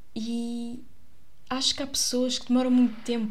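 A woman's high-pitched voice at a moderate pace, with audible room echo. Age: 20s. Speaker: actress and podcaster. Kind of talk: casual monologue. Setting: home recording in her bedroom. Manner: chatty, with fillers and laughs.

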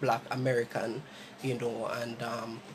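Against noticeable background noise, a man with a Jamaican accent talks at medium pitch and a moderate pace. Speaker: podcast host. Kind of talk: casual chat.

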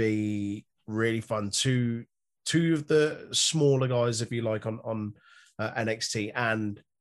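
With a British accent, a man talks at medium pitch with ordinary pitch variation over a quiet background. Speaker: wrestling podcast host. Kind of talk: casual banter. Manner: joking, animated.

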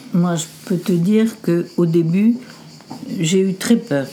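With noticeable background noise behind her, a woman at a medium pitch speaks at a very slow pace with ordinary pitch variation. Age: 70s. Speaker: grandmother of the host. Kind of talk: casual family conversation.

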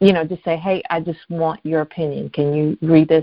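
A woman's fairly low-pitched, unremarkable speaking voice at a moderate pace. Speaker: podcast co-host. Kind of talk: interview.

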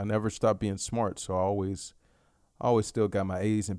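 This man has an American accent and a plain, everyday voice, talking at a fairly quick pace with fairly low pitch in a very clean recording against a silent background. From Dallas, Texas (South Oak Cliff). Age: 20s. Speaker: podcaster. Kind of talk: solo casual monologue. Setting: home bedroom. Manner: relaxed, filler-heavy.

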